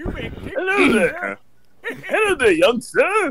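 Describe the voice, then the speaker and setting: In a put-on character voice, a man talks very slowly at an extremely high pitch. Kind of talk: polite, formal greeting.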